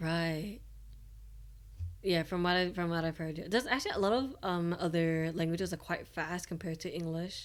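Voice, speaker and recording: A woman with an Australian accent, fairly low in pitch, at a moderate pace and with ordinary pitch variation. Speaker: VTuber streamer. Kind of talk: casual chat.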